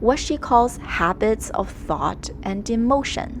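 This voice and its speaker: A woman with a Chinese accent at a very slow pace, amid noticeable background noise. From China, moved to Canada around age ten. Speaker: art YouTuber. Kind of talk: scripted narration.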